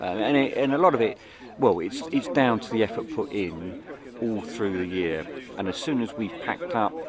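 A man's voice, dry with no echo, with crowd noise in the background. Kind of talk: interview answer. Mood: relaxed and pleased. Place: open country.

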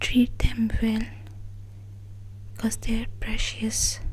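A soft-spoken woman talks in a gentle tone. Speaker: daughter of the channel owner, social media handler and video editor. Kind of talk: casual talk to camera, soft-spoken thank-you message. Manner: soft-spoken, gentle.

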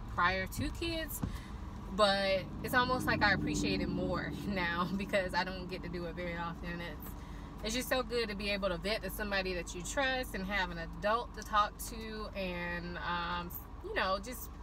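A woman speaks at a moderate pace over noticeable background noise. The sound is dry, with no echo. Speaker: vlogger. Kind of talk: casual vlog chat. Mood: happy, relaxed. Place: car. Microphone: phone near.

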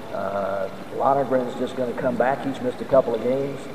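With noticeable background noise, a man with an American accent speaks at medium pitch and a moderate pace. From American Deep South. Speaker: radio play-by-play announcer for college football. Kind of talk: speech to a club audience about the football team. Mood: upbeat, proud of team. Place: hall. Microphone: podium.

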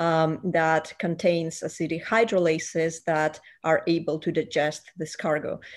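Speaking here is a woman with a fairly low pitch. The background stays quiet. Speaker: remote guest. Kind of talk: interview answer. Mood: friendly, smiling. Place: home room. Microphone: video call.

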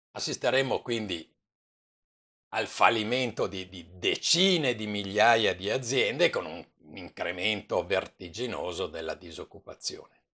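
A man with a fairly low pitch speaks fairly slowly in a bright, sharp tone. His loudness swings widely against a quiet background. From Italy. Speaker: commentator. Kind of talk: news commentary. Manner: informal; animated, indignant. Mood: calm, sometimes smiling. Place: home room. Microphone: webcam.

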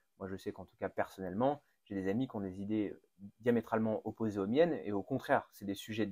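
Recorded with a dry, close sound and no echo, a man with an unremarkable speaking voice talks at medium pitch with ordinary pitch variation. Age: 30s. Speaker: podcast host and mayor. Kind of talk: interview.

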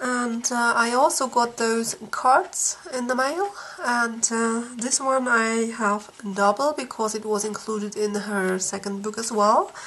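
Through noticeable background noise, a woman with a fairly high pitch speaks at a fairly slow pace. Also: ordinary pitch variation. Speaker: coloring book YouTuber. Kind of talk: casual product flip-through. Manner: halting with many fillers.

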